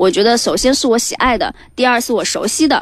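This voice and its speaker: Fairly quick speech from a woman, fairly high in pitch and with ordinary pitch variation. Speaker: startup founder. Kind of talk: startup pitch interview. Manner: lively, energetic.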